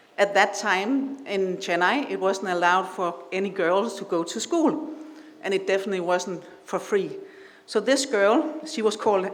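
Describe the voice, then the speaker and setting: A woman with a Danish accent speaks fairly slowly with lively intonation. Room echo is audible, along with noticeable background noise. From Denmark. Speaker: invited speaker at awards ceremony. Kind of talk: speech. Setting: stage with audience. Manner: halting.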